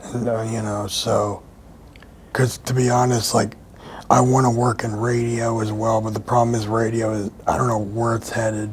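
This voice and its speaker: An American accent comes through at a moderate pace. The intonation is monotone and flat, with noticeable background noise. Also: man, medium pitch for a man. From Philadelphia, US Northeast. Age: 30s. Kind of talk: interview. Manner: halting.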